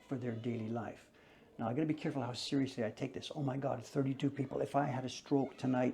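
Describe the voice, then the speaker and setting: Very fast and monotone, a man talks at medium pitch with a dark, mellow tone that is somewhat breathy. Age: 70s. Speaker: business owner. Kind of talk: interview.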